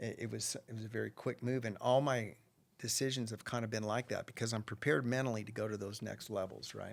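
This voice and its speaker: Very fast speech from a man at medium pitch, with vocal fry and fairly even intonation. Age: 60s. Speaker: rancher and businessman. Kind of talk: podcast interview.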